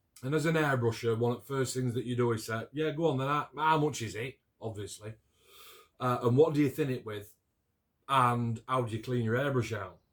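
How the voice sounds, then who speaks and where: The speaker talks at a fairly quick pace in a South Yorkshire accent. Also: man, medium pitch for a man, ordinary pitch variation. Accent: Yorkshire, Barnsley. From northern England, near Barnsley, South Yorkshire. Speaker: scale model builder and hobby video maker. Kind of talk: casual chat, build review to camera.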